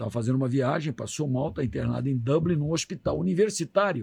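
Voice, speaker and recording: This man talks at a fairly quick pace in a somewhat breathy voice, his pitch swinging very widely. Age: 60s. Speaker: doctor. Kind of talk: radio interview.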